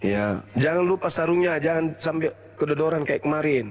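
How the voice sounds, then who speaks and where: A man talks at a moderate pace with very even loudness while music plays in the background. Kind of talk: heated debate.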